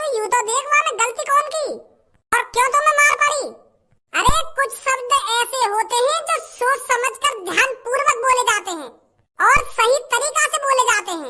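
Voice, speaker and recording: An extremely high, squeaky, cartoonish character voice. It moves at a moderate pace. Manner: lecturing, rustic dialect.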